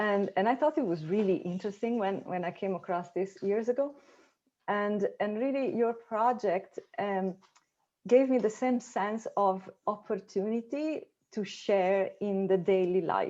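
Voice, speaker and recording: In an Italian accent, a woman speaks with a dark, mellow tone. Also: medium pitch for a woman, ordinary pitch variation, fairly slow pace. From Italy. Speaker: academic researcher. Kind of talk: conference discussion. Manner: halting, many fillers and repetitions.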